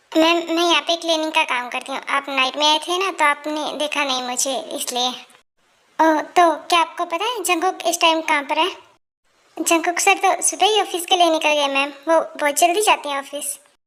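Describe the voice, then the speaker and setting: Using a put-on character voice, a woman speaks at a fairly quick pace at an extremely high pitch, with ordinary pitch variation. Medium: audio drama. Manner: respectful, deferential.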